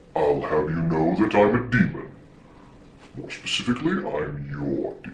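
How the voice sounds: Putting on a booming character voice with a very deep, low pitch, a man speaks at a moderate pace over clear background noise.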